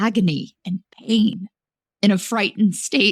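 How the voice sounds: The voice is a natural reading voice. Behind it, things stay quiet.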